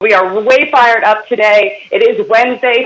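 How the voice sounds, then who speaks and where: Energetic and bright, a woman's high-pitched voice has a sharp tone and ordinary pitch variation. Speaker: network marketing team leader. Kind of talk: sales training call. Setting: conference call. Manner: fast, energetic.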